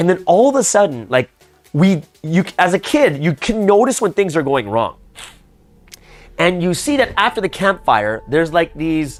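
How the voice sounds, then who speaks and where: The pitch swings very widely. Music plays in the background. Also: man. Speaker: pastor. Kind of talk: storytelling. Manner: casual, filler-heavy.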